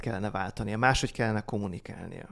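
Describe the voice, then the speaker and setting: A man speaks over a quiet background. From Hungary. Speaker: marketing consultant; podcast guest. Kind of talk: casual chat. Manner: trained, lowered pitch. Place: studio. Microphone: studio mic.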